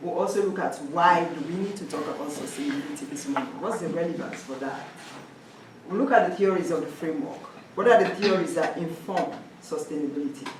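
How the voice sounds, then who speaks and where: A woman with a Sierra Leonean accent at a very fast pace and medium pitch, with very wide pitch swings, audible room echo, and noticeable background noise. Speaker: social work graduate student presenter. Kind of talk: academic presentation.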